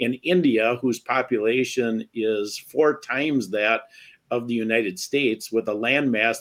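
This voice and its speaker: This man has a normal speaking voice with an American accent. His pitch variation is ordinary. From Wisconsin. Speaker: podcast host, bereaved father. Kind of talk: casual interview.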